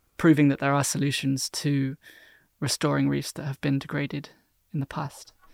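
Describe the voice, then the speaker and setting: In a dry, close sound with no echo and a very clean recording with a silent background, a man with a southern English accent talks at a fairly quick pace and a fairly high pitch. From southern England (London area, Cornwall). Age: 20s. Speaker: marine biologist. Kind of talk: casual interview. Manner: hesitant, many fillers.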